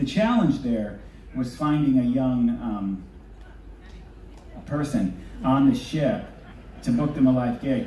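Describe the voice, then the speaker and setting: A man is speaking. There is audible room echo. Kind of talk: stage banter with audience. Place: stage.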